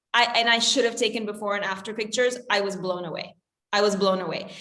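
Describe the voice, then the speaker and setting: With audible room echo, a woman in a bright, sharp tone talks at a fairly quick pace. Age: 40s. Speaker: health coach. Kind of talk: casual chat.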